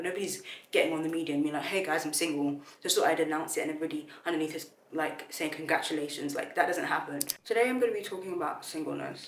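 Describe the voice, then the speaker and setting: A woman's very deep, low voice at a very fast pace, with ordinary pitch variation, audible room echo and noticeable background noise. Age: 20s. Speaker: content creator. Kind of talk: casual vlog talk to camera. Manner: casual, filler-heavy, self-correcting.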